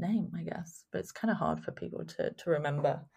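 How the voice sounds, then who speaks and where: The speaker is a woman with a London accent. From England, London. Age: 20s. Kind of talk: interview. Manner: hesitant, many fillers.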